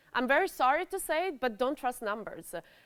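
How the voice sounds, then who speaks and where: A woman with an Italian accent speaks loudly at a moderate pace with lively intonation. The recording is very clean with a silent background and a dry, close sound with no echo. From Italy. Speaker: cybercrime researcher. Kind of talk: conference talk. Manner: hesitant, many fillers.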